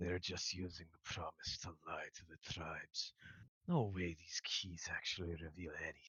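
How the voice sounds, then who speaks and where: In a put-on character voice, a man talks at a moderate pace with a hissing quality and a very deep, low pitch. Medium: actual play.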